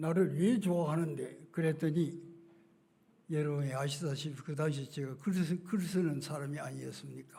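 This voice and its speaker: A man with a fairly high pitch and a dark, mellow tone speaks at a moderate pace. His intonation is fairly even, and audible room echo can be heard. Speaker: retired pastor. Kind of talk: sermon. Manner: halting.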